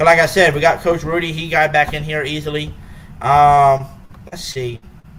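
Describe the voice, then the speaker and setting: Against noticeable background noise, a man with a fairly high pitch speaks at a moderate pace in a flat, monotone intonation, his loudness swinging widely. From Louisiana, North Shore near New Orleans. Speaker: YouTube live podcast host. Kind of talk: casual live stream chat.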